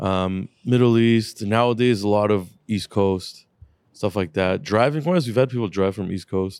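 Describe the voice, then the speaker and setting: With a normal speaking voice, a man talks at a moderate pace and a fairly low pitch, showing ordinary pitch variation. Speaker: car shop owner and podcast host. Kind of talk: casual chat. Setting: studio. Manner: joking, profane.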